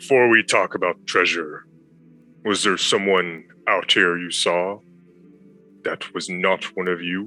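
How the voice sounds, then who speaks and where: In a put-on character voice with a very deep, low pitch, a man speaks at a fairly slow pace with long, frequent pauses while faint music plays in the background. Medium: actual play. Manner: blunt, terse.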